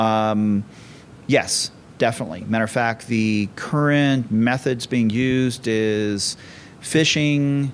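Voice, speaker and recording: A man with an ordinary speaking voice, medium pitch, ordinary pitch variation and a fairly slow pace. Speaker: conference speaker, security company CEO. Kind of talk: conference talk.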